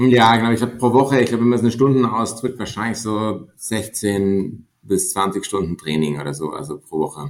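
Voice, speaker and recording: A man's normal speaking voice at medium pitch, with a moderate pace, lively intonation and hardly any pauses. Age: 30s. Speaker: mountaineer and management consultant. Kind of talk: podcast interview.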